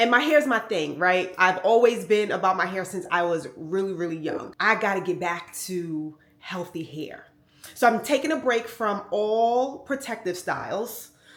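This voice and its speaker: Speaking at a moderate pace with an American accent, a woman has an ordinary speaking voice at a medium pitch. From New York. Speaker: fashion vlogger. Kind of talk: casual vlog talk to camera.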